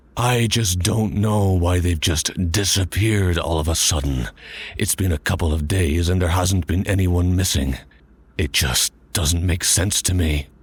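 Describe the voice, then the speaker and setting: A man uses a put-on character voice with a very deep, low pitch at a moderate pace. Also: very even loudness. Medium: audio drama. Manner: blunt, sardonic.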